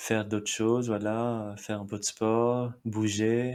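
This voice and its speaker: A man speaks with a Marathi accent at a fairly low pitch. The recording is very clean, with a silent background. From India, Mumbai. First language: Marathi (speaking French). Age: 30s. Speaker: immigrant interviewee. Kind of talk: interview. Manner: halting, with many fillers.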